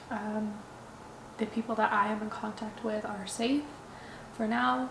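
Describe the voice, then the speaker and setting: A woman speaks at a fairly high pitch and fairly slow pace. Audible room echo and noticeable background noise surround her. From Ukraine, Odessa. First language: Russian. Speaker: vlogger. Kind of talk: personal vlog monologue. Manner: halting, with repetitions and fillers.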